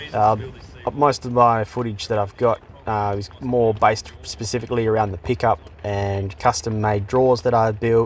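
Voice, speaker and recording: Noticeable background noise surrounds a man with an Australian accent who speaks at a moderate pace and a medium pitch. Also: fairly even intonation. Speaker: vlogger building a travel vehicle. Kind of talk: voiceover narration. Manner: monotone; halting.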